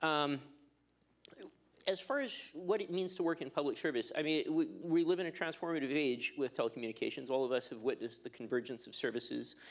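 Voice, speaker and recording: A man talks with a strong Canadian accent. His pace is fairly quick. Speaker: telecom regulator. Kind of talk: conference panel talk.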